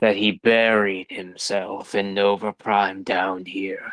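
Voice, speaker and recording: A man speaks in a put-on character voice, fairly low-pitched, at a fairly slow pace with monotone, flat intonation. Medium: actual play.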